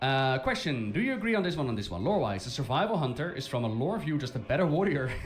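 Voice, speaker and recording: A man with a Dutch accent talks very fast, with hardly any pauses and very wide pitch swings in a fairly high voice. Audible room echo and noticeable background noise are present. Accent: Dutch accent, rolled R's. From Netherlands. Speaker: gaming streamer. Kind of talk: live stream commentary.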